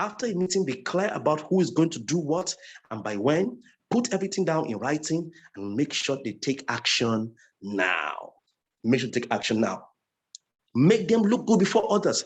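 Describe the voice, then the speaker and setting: A man with a fairly high pitch and vocal fry makes very wide pitch swings. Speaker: network marketing trainer. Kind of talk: training lecture. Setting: online group call, recorded. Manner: fast.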